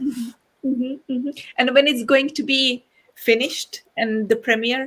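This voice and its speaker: Moderate pace and a monotone, flat intonation. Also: woman, high pitch for a woman. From Czech Republic. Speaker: harpist and interview host. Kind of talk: interview. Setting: live online broadcast.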